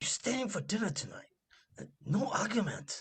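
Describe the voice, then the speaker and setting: A woman's quiet, raspy, put-on character voice at medium pitch, with very wide pitch swings. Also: moderate pace. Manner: hushed, firm.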